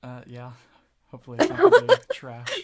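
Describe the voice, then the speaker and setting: A man's raspy, put-on character voice at a fairly quick pace. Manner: hesitant.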